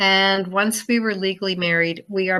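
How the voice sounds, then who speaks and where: A woman's medium-pitched voice with a bright, sharp tone. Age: 70s. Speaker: guest. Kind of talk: casual interview.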